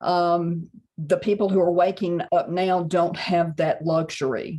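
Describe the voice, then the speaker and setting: In a Mississippi accent, a woman speaks at a fairly low pitch with fairly even intonation. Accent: Southern US (Mississippi). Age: 60s. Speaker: psychic channeler and author. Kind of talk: casual interview chat.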